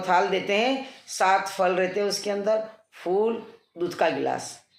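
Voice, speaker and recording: A woman speaks with fairly even intonation. There is audible room echo. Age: 60s. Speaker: devotional vlogger. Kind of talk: casual talk about pilgrimage. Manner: hesitant with fillers.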